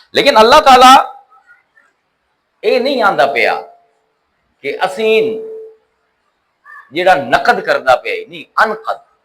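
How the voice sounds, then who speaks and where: A man speaks in an animated tone with big swings in loudness and long, frequent pauses. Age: 50s. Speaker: Islamic scholar. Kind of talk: religious lecture.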